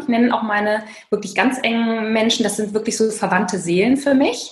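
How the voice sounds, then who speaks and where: A woman talks at a moderate pace with a fairly high pitch. Audible room echo surrounds her voice. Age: 40s. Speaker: author and burnout coach. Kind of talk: interview.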